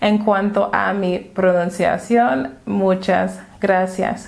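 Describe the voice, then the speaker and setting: Amid audible room echo, a woman with a slight non-native accent speaks at a very slow pace. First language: English (speaking Spanish). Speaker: language teacher. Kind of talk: tutorial.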